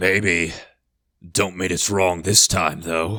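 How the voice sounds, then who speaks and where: A man uses a put-on character voice that is raspy and very deep, low in pitch, delivered at a very slow pace. The recording is very clean, with a silent background. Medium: read story.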